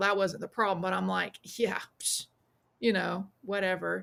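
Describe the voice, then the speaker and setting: The pace is fairly quick. The speaker talks in a Southern US accent. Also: woman. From US South, South Carolina. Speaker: witch, priestess and author. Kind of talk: podcast interview. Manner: casual, with frequent fillers and restarts.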